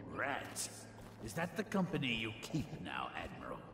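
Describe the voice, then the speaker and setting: Put-on character voice from a man, fairly high pitch, moderate pace, slight echo and loud background noise. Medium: video game. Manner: haughty, contemptuous.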